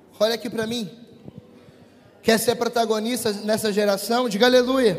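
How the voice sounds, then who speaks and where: A man's high-pitched voice at a moderate pace, with audible room echo and noticeable background noise. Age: 20s. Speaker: preacher. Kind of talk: sermon. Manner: animated.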